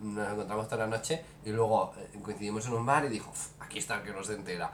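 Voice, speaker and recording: In a room with audible echo, a man of medium pitch talks very fast with fairly even intonation. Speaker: podcast co-host. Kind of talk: casual chat.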